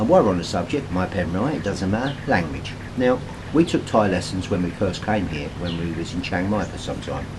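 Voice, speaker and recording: A man with a British accent speaks in a very deep, low pitch at a fairly quick pace, his intonation lively. Noticeable background noise and audible room echo fill the recording. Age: 60s. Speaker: retiree vlogger. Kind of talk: casual vlog talk to camera. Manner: relaxed, hesitant with many fillers.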